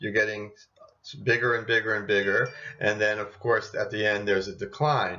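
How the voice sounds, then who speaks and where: The speaker is a man. His delivery keeps a fairly level intonation. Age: 60s. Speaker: doctor giving health talk. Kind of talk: video lecture with slides. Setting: at home.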